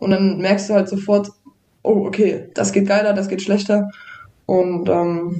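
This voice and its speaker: The speaker is a woman with a medium pitch. She speaks in a monotone, flat way. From Thuringia, Germany. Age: 20s. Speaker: downhill mountain bike racer. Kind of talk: casual podcast interview.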